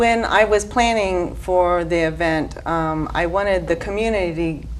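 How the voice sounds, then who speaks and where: A woman talks at a fairly slow pace. Audible room echo is present. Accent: northern US. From US Midwest (Cincinnati, Indianapolis). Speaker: nursing home activities staff. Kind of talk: TV interview. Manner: halting, many fillers.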